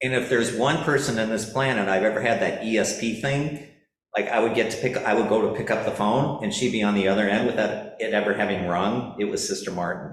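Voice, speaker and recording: A man with a slight South Dakota accent, medium pitch and lively intonation, in audible room echo. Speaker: church parishioner. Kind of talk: personal testimony at church forum. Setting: church forum. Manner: halting, many fillers.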